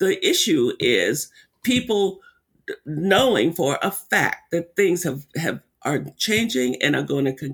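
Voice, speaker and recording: A man's high voice at a fairly slow pace, with very wide pitch swings. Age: 70s. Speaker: racial healing center director and author. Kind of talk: interview conversation.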